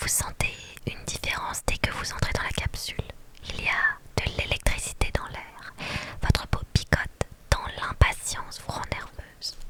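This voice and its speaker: Whispering at a fairly slow pace, a woman's voice rises and falls sharply in loudness against noticeable background noise. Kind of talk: whispered reading of a game story. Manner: whispered.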